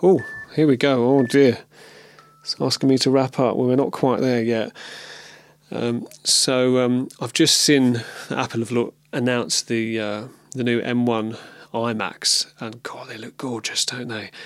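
A man with an English accent, fairly even intonation and a fairly slow pace. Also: medium pitch for a man. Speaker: video podcaster and musician. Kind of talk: casual monologue. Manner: hesitant, many fillers.

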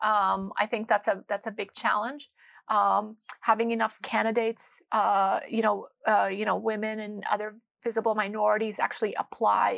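A woman talks at a moderate pace. Behind her, the background stays quiet. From Windsor, Ontario, Canada. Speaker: sustainability executive in finance. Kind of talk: interview conversation. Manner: halting, many fillers and repetitions.

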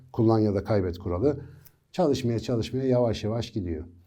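Fairly low in pitch with a dark, mellow tone, a man speaks at a fairly quick pace with ordinary pitch variation. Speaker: neuroscience educator. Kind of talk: educational monologue. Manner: conversational.

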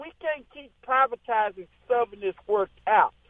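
A Southern US accent at a fairly slow pace, with ordinary pitch variation. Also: man. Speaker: radio show caller. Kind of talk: casual call-in chat. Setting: phone call. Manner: animated.

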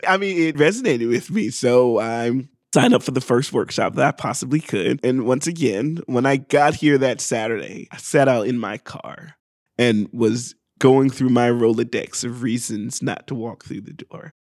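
A man with an American accent talks at a moderate pace in an unremarkable speaking voice, medium in pitch with ordinary pitch variation. His loudness swings widely, and the recording is very clean with a silent background. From US South, Augusta, Georgia. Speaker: improv performer. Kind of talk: casual chat. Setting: studio.

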